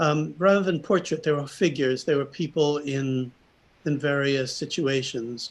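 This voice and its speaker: A man with a plain, everyday voice speaks at a moderate pace, his pitch fairly high and his intonation fairly even. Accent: American. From New York. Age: 60s. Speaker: artist. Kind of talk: presentation.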